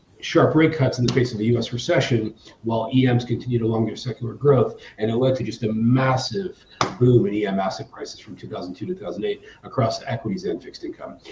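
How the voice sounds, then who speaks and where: Over noticeable background noise, a man with an American accent and a medium pitch talks at a very fast pace, with lively intonation and big swings in loudness. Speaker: emerging markets hedge fund manager. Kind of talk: panel discussion. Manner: halting, many fillers and restarts.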